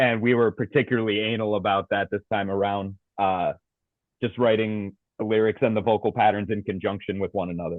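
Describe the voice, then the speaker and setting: A man with an American accent uses a normal speaking voice, fairly low in pitch, talking at a fairly quick pace with fairly even intonation. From US Northeast, Providence Rhode Island. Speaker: death metal vocalist. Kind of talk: interview.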